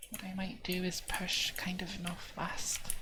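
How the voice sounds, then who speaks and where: A soft-spoken woman at a medium pitch, very slow and monotone, with flat intonation amid noticeable background noise. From southern England. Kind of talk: ASMR gaming commentary.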